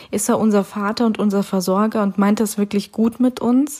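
A woman with a medium pitch and a somewhat breathy voice speaks at a moderate pace in a flat monotone. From Siberia, Russia. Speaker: church podcast host. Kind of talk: devotional talk. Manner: casual, hesitant with fillers.

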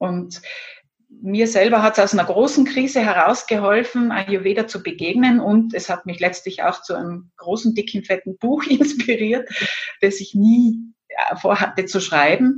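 A plain, everyday voice belongs to a woman with a fairly high pitch. She talks at a moderate pace with ordinary pitch variation. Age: 50s. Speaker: Ayurveda expert and former pharmacist. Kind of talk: interview.

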